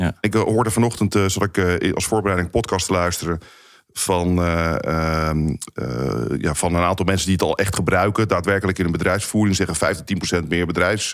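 A man with a very deep, low pitch talks at a fairly quick pace and with fairly even intonation. The recording is very clean, the background silent. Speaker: podcast co-host. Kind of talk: casual discussion.

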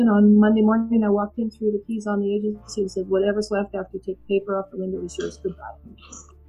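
A woman speaks at a very fast pace with a medium pitch. Music plays in the background. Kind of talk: storytelling, a personal life story told as a warm, reflective memoir. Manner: animated and emotional, recounting scenes with vivid dialogue and laughter.

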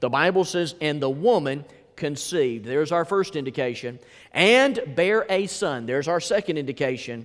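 In a Southern US accent, a man talks with lively intonation at a fairly high pitch. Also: moderate pace. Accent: US South. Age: 40s. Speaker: pastor. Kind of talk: sermon. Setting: church. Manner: animated.

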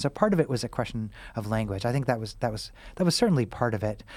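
Very fast speech from a man with an American accent and a medium pitch, in a very clean recording with a silent background. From Missouri, US Midwest. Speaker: author, physician and professor. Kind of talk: interview.

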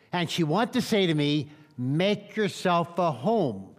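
This man has an American accent and a high pitch. His pitch makes very wide swings. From Pennsylvania, Lancaster County. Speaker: evangelist. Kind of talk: sermon. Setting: church.

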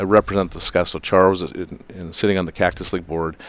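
On a very clean recording with a silent background, a man speaks at a very deep, low pitch with monotone, flat intonation. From North Dakota (Fargo). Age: 50s. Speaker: baseball league president. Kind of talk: casual interview. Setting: hotel room, in person.

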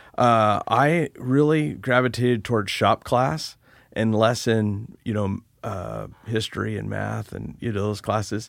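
Slow delivery with vocal fry and fairly even intonation, on a very clean recording with a silent background. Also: man, fairly low pitch for a man.

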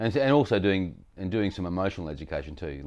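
Very deep and low, a man talks at a very fast pace with an Australian accent. The background is quiet. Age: 50s. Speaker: podcast guest. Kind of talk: casual chat. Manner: animated.

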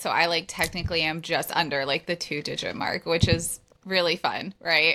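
A woman with a normal speaking voice talks at a moderate pace with a fairly low pitch. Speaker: podcast co-host. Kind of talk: casual chat.

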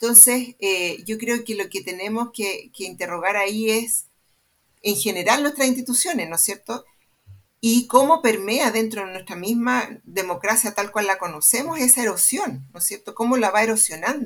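A woman's fairly high pitch, lively intonation and moderate pace in an ordinary speaking voice. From Chile, Santiago. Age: 50s. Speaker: sociologist and research center director. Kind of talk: panel discussion.

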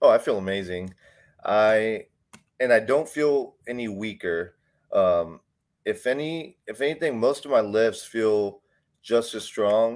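In an American accent, a man at medium pitch talks at a fairly slow pace with ordinary pitch variation and long, frequent pauses. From Texas, Houston area. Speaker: CrossFit athlete. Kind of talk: casual interview.

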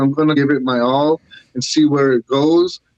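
An ordinary speaking voice from a man with an American accent, fairly high in pitch, at a moderate pace, with a dry, close sound and no echo. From US Northeast, Syracuse, New York. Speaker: artist. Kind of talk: interview. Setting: internet call.

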